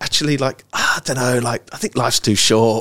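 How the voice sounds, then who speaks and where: A man with an English accent. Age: 40s. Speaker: ecommerce startup founder. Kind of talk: casual interview chat.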